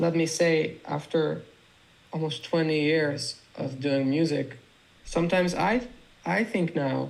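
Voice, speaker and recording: Fairly slow speech in a Dutch accent, ordinary pitch variation, long and frequent pauses, and noticeable background noise. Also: man, fairly high pitch for a man. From Netherlands. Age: 30s. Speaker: music producer. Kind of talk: interview.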